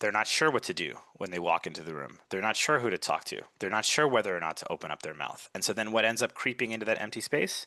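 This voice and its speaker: A man with an American accent and a fairly low, bright, sharp voice rattles along at a very fast pace with hardly any pauses and lively intonation, the sound dry and close with no echo. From US Northeast, Brooklyn, New York. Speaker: communication coach. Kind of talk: podcast interview.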